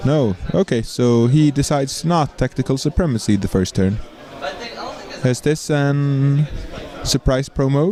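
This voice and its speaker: There is noticeable background noise as a man with a Swedish accent talks at a fairly slow pace with long, frequent pauses. His voice is fairly high-pitched and very even in loudness. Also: ordinary pitch variation. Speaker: game commentator. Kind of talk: live commentary; casual chat.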